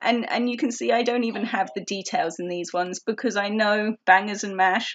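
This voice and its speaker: A woman with an English accent speaks at a moderate pace, her pitch varying in an ordinary way. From England. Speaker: organizing tips vlogger. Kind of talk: tutorial. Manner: casual, with fillers.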